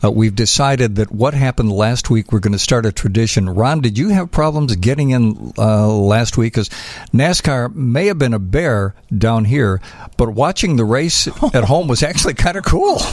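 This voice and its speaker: Using an ordinary speaking voice, a man with an American accent speaks at medium pitch and a moderate pace, his intonation lively and his loudness very even. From Chicago. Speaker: radio host. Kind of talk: casual chat. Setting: studio.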